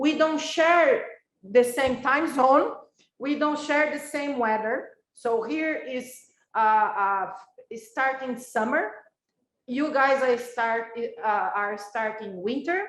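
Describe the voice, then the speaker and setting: A woman with a Brazilian accent speaks very slowly in a high voice, with ordinary pitch variation. Audible room echo surrounds her. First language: Brazilian Portuguese. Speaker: professor. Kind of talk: lecture. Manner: halting.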